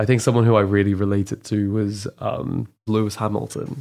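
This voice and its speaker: A normal speaking voice, moderately paced, with ordinary pitch variation and a very clean recording over a silent background. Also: man. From moved around young; from an Islamic country, later Canada. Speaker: renewable energy engineer. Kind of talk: casual chat.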